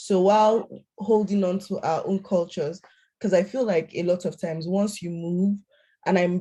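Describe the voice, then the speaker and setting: Against a quiet background, a woman with a dark, mellow tone speaks somewhat breathily at a moderate pace with fairly even intonation. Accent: Nigerian. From Nigeria. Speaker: panel facilitator. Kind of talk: panel talk.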